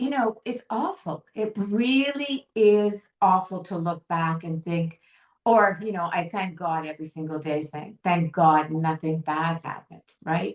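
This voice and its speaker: A woman talks fairly slowly, her intonation lively. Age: 60s. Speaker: founder of a sobriety organization. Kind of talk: interview.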